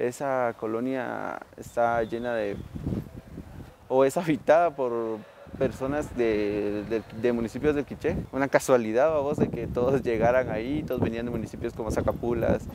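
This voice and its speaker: Using a normal speaking voice, a man talks at a medium pitch and a fairly slow pace with fairly even intonation. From Guatemala City. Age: 20s. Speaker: interviewee. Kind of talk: interview testimony.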